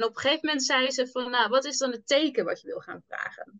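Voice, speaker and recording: A woman's high-pitched voice, bright and sharp in tone, at a fairly quick pace. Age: 20s. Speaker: entrepreneur, manifestation coach. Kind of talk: casual interview chat.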